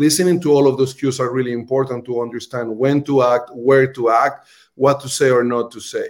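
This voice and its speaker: With a Colombian accent, the speaker talks at a fairly quick pace. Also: man. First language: Spanish. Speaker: restaurant marketing executive. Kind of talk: livestream interview. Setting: video call. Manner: animated.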